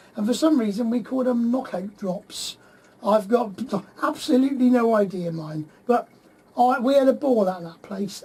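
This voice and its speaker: Someone speaks with a West Country accent at a moderate pace. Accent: West Country, people mistake it for Cornish. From Plymouth, southwest England. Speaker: radio host. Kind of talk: casual radio chat.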